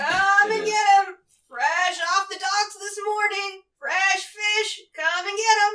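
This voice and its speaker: An extremely high-pitched, put-on character voice carries the lines. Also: fairly slow pace. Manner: calling out wares.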